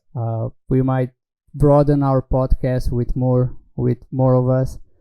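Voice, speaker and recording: A man speaks at a medium pitch with a dark, mellow tone and a dry, close sound with no echo. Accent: Slovenian. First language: Slovenian. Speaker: talk show host. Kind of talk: interview. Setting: online stream.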